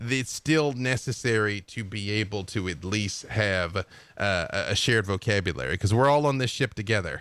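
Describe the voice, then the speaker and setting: With an American accent and a normal speaking voice, a man talks at a moderate pace with lively intonation in a very clean recording over a silent background. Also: fairly low pitch for a man. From US South, Arkansas. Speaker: game writer. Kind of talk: casual chat.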